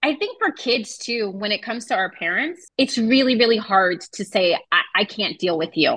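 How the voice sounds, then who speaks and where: A woman with an ordinary speaking voice talks at a moderate pace with hardly any pauses. Her pitch is fairly high and her intonation lively. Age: 30s. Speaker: podcast co-host. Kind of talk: casual chat.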